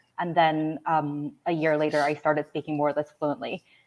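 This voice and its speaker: A woman with a Korean accent speaks in a very deep, low voice at a moderate pace with monotone, flat intonation. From mixed childhood: South Korea, Malaysia, US (New Jersey). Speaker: author, finance worker. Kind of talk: interview.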